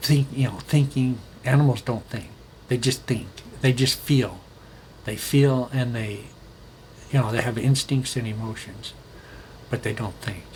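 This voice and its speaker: A man talks at a fairly slow pace in a medium, somewhat breathy voice with fairly even intonation and long, frequent pauses. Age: 60s. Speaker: solo video blogger on current events. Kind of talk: casual monologue. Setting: recording alone. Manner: halting, many fillers and restarts.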